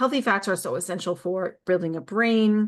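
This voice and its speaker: Against a quiet background, a woman of medium pitch speaks at a fairly slow pace with ordinary pitch variation. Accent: Long Island. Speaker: wellness coach. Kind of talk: casual talk to camera. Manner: animated; rambling, with fillers and restarts.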